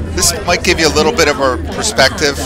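Crowd noise fills the background. A man speaks in a dry sound with no echo. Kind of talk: casual travel vlog commentary. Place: train. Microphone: phone near.

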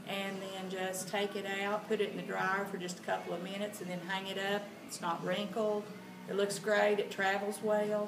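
A woman's monotone, flat delivery at a moderate pace over noticeable background noise. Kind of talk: interview answer. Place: shop. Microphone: camera far.

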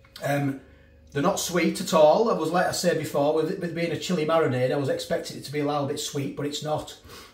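A man talks at a very fast pace. Audible echo fills the room. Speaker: food reviewer. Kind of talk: casual vlog chat. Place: kitchen. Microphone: phone near.

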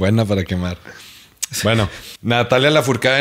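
At a moderate pace and medium pitch, a man speaks in a Mexican accent with ordinary pitch variation over a quiet background. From Mexico. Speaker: podcast host. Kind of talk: casual chat. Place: home room. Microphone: studio mic.

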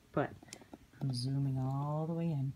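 A woman talks at a moderate pace with a very deep, low pitch. Her voice is somewhat breathy, with light background noise. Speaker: handbag reseller. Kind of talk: casual product show-and-tell vlog. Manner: whispered. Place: home room. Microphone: phone near.

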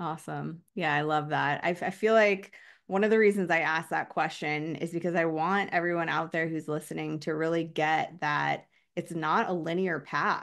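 Her pitch sits fairly low, and her intonation stays fairly even. The woman keeps a moderate pace against a quiet background. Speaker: podcast host. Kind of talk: casual interview chat. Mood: warm, reflective. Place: home room. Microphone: webcam.

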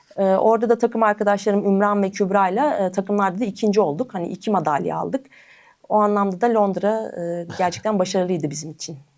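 A woman with a plain, everyday voice speaks at a fairly quick pace in a medium pitch with ordinary pitch variation. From Turkey, Eskişehir. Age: 30s. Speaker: para table tennis athlete. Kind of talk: interview.

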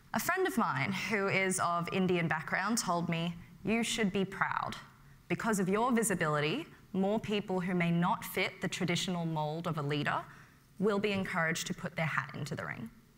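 The speech has an Australian accent, a moderate pace and ordinary pitch variation. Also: woman, medium pitch for a woman. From Western Sydney, Australia; New South Wales, Australia. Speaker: medical student leader. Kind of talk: prepared speech. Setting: stage with audience. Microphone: lapel.

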